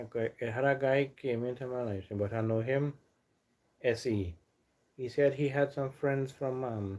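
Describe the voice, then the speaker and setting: A man talks in a medium pitch with a Trinidadian accent. He leaves long, frequent pauses. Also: fairly even intonation, moderate pace. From Trinidad and Tobago. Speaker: live streamer. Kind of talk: casual chat. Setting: live stream at home. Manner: halting, repetitive.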